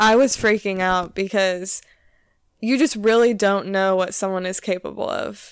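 A woman with an American accent speaks in a plain, everyday voice at a fairly slow pace with fairly even intonation. The recording is very clean, with a silent background. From US Midwest, Illinois. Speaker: podcast co-host, victim advocate. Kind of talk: casual chat.

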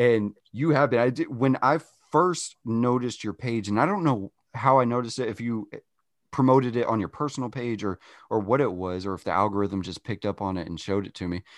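In a normal speaking voice, a man talks at a fairly quick pace with medium pitch and ordinary pitch variation, the sound dry and close with no echo over a quiet background. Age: 30s. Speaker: podcast host. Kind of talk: casual chat. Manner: laughs often.

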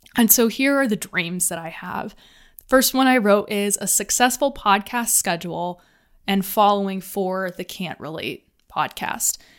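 Speaking at a fairly slow pace in a very clean recording with a silent background, a woman of medium pitch has an American accent. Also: ordinary pitch variation. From US South. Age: 20s. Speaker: podcast host. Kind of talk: casual monologue. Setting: home office. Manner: rambling, filler-heavy.

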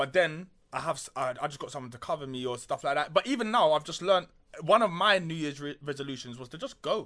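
Fairly high male voice in a London accent, bright and sharp in tone, at a very fast pace. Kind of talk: casual chat.

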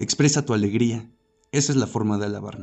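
With music in the background, a man talks at a fairly quick pace in a medium pitch, his intonation fairly even. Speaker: podcast narrator. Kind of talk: reading aloud a first-person monologue in the voice of god, scripted narration. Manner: direct, emphatic, speaking straight to the listener in commanding second person.

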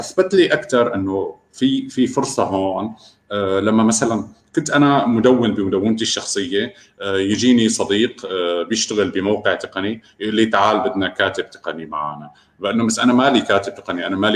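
A man with a fairly low pitch keeps a moderate pace and ordinary pitch variation. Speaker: remote work expert and freelancer. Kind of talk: interview. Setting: live online broadcast.

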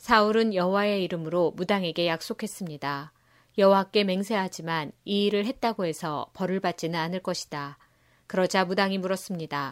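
A plain, everyday voice from a woman, medium in pitch, at a moderate pace with ordinary pitch variation, dry and close with no echo on a very clean recording over a silent background. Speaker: Bible reader. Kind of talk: reading aloud.

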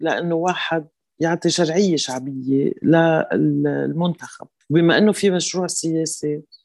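Over a very clean recording with a silent background, a woman speaks at a fairly slow pace in a fairly low pitch with a dark, mellow tone. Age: 60s. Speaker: parliamentary candidate. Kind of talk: interview.

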